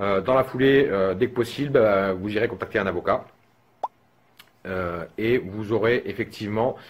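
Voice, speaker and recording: A man at a moderate pace, fairly low in pitch with ordinary pitch variation. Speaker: father's rights advocate. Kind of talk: tutorial talk to camera. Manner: hesitant, casual.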